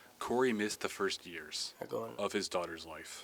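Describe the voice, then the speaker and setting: Against noticeable background noise, a man with a fairly low pitch speaks at a moderate pace with lively intonation. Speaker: reporter. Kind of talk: news package voice-over.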